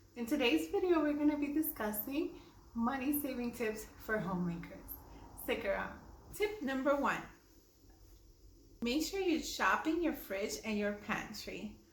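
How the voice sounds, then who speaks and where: With noticeable background noise behind her, a woman speaks at a high pitch and a fairly slow pace, her pitch swinging very widely and her speech broken by long, frequent pauses. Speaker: homemaker, lifestyle YouTuber. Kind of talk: casual talk to camera. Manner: slowed-down, deliberate pace.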